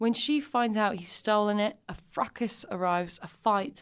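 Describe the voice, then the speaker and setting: An ordinary speaking voice with lively intonation at a fairly slow pace, on a very clean recording with a silent background. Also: woman. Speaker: comedian. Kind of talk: casual chat.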